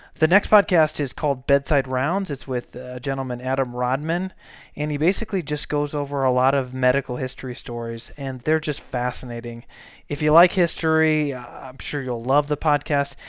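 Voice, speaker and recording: In a quiet setting, a man with an American accent and an unremarkable speaking voice talks at a moderate pace, his fairly high pitch showing ordinary variation. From Saint Louis, Missouri. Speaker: podcast host and family physician. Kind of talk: casual monologue.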